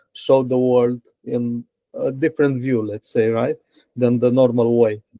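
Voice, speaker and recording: In a Romanian accent, a man speaks in a medium pitch with a dark, mellow tone, flat monotone intonation, and a dry, close sound with no echo. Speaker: software engineer. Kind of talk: interview. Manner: halting.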